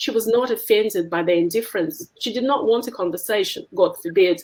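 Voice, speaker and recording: Medium-pitched female voice in a Russian accent, at a moderate pace. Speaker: essayist. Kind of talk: reading aloud.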